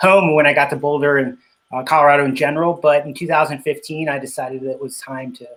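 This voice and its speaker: A man speaks at fairly high pitch with fairly even intonation. He has a Spanish accent. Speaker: cycling business owner. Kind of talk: interview.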